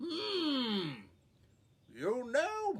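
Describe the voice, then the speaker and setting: The speaker puts on a character voice pitched high. It makes very wide pitch swings. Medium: read story. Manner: slow, ponderous.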